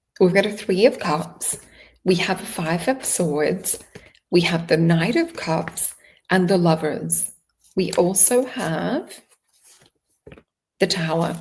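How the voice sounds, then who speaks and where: Somewhat breathy, a woman's fairly low voice moves at a fairly slow pace. Her pitch varies in an ordinary way. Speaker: tarot reader. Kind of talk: tarot reading. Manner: casual, conversational.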